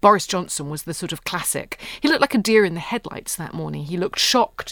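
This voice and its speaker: A woman with vocal fry and lively intonation is heard on a very clean recording with a silent background. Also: dry, close sound with no echo. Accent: British. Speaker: history professor. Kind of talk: interview explaining history and politics. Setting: studio.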